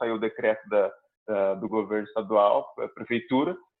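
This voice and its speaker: A man talks at a moderate pace with a medium pitch. He has an unremarkable speaking voice. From Curitiba, southern Brazil. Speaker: comedian. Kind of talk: casual chat.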